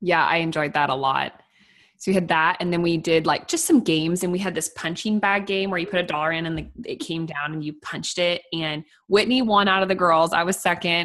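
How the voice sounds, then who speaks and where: With an American accent, a woman speaks at a fairly quick pace and a fairly low pitch in an ordinary speaking voice, her intonation fairly even. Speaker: podcast host, farm wife. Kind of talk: casual chat.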